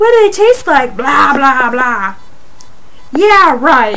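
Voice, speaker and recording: A woman talks at a fairly slow pace, her pitch swinging very widely. Light background noise is audible. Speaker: vlogger reading a book. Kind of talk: casual vlog chat with read-aloud. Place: home room. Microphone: webcam.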